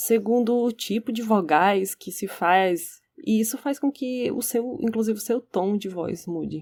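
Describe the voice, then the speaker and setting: On a very clean recording with a silent background, a woman speaks at a fairly slow pace with lively intonation. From Spain, Barcelona. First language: Catalan or Spanish (speaking Portuguese). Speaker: podcast co-host. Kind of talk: casual discussion.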